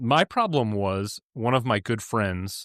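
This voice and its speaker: Recorded very cleanly against a silent background, a man's fairly low voice shows ordinary pitch variation in a dry, close sound with no echo. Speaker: podcast guest, film podcaster. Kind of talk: casual chat.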